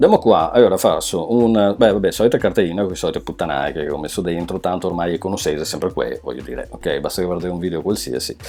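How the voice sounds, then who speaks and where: A man races along at a very fast pace with hardly any pauses. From Veneto, Treviso area, Italy. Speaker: web design teacher. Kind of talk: tutorial. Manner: casual.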